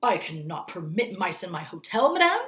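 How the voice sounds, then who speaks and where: Putting on a growling character voice, a woman speaks at a moderate pace. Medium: read story. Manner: formal, stiff.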